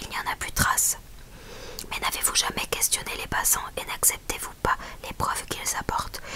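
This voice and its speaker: Someone whispers in a calm tone at a moderate pace. Noticeable background noise runs underneath. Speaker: ASMR Bible reader. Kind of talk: whispered ASMR Bible reading. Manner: whispered, calm, relaxing.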